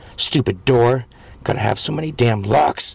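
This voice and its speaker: Raspy and rumbling, a put-on character voice moves with lively intonation. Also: man, medium pitch for a man, moderate pace. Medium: read story. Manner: grumbling, sarcastic.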